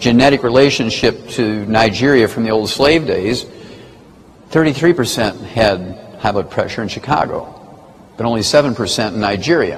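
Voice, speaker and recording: Noticeable background noise and audible room echo surround a man speaking at a moderate pace in a medium pitch with ordinary pitch variation. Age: 70s. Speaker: health lecturer. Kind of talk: lecture.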